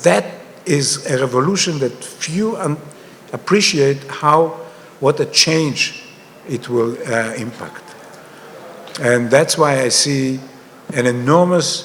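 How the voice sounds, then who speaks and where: Against noticeable background noise, a man with an Israeli accent speaks very slowly at a fairly high pitch with ordinary pitch variation and long, frequent pauses. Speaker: panelist, author on digital money. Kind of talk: panel discussion.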